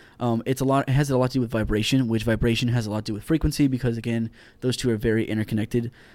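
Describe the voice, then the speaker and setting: On a very clean recording with a silent background, a man with an American accent talks at a very fast pace in a dark, mellow, medium-pitched voice. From Houston, Texas. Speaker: astrophysics student. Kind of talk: casual science explanation.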